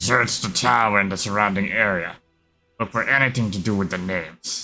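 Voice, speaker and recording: A man's put-on character voice, fairly low in pitch, with faint music in the background. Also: moderate pace. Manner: scheming, scratchy.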